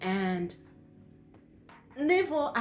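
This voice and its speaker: A woman speaks at a very slow pace with noticeable background noise. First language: not English. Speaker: YouTuber. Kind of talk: casual chat. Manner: halting.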